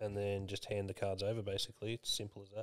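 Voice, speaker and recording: A man speaks with an Australian accent and monotone, flat intonation. The recording is very clean, with a silent background. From Victoria, Australia. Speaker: general manager, co-host.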